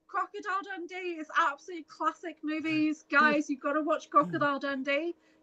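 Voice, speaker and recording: A woman in a high pitch projects a raised voice with a bright, sharp tone, keeping a moderate pace with hardly any pauses. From northern England, Merseyside near Liverpool. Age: 50s. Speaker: spiritual healer and retreat facilitator. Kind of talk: casual chat. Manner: animated.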